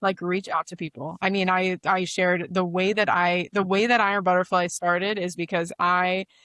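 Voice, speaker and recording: A woman's fairly low, bright and sharp voice with an American accent, monotone and flat at a moderate pace, dry and close with no echo over a quiet background. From Arizona. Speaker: media co-founder, former intelligence community professional. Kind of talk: podcast interview.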